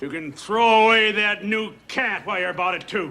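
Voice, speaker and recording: A gruff put-on character voice, raised and projected, at a moderate pace with ordinary pitch variation. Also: man, high pitch for a man. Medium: short film. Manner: gruff, cursing, irritable.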